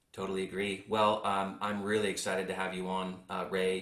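A man's very deep, low voice, monotone and flat at a moderate pace, with audible room echo. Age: 40s. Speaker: podcast host, insurance tech co-founder. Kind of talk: interview chat.

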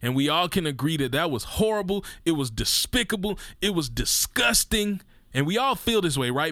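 Animated and bright with a sharp tone, a man speaks at a moderate pace in an American accent. The recording is very clean, with a silent background. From Mississippi, US Deep South. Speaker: podcast host. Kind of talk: impassioned monologue on race.

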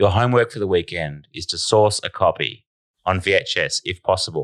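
A man speaks in an Australian accent with an animated tone. The sound is dry and close with no echo, on a very clean recording with a silent background. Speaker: football podcast host. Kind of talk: casual banter, sports podcast. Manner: animated, jokey.

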